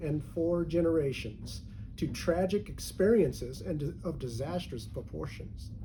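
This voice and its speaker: This man's pitch is fairly high, with vocal fry and lively intonation at a fairly slow pace. Room echo is audible. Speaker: preacher. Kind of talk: sermon.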